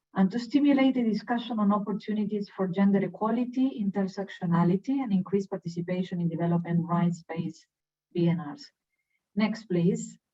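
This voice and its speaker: At a fairly quick pace, a woman talks in a somewhat breathy voice of medium pitch. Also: ordinary pitch variation. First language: Spanish. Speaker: UN human rights officer. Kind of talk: webinar presentation.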